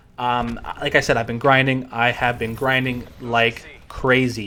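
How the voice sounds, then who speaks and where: At medium pitch, a man speaks with fairly even intonation. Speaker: gaming youtuber. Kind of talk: gaming news rundown. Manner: fast.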